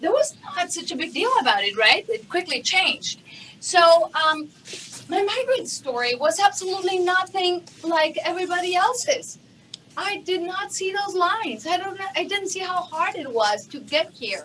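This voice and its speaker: A woman's extremely high voice with very wide pitch swings, a Spanish accent, a moderate pace and light background noise. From Mexico. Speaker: TV news anchor and journalist. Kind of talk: keynote presentation. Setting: conference stage with audience. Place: hall.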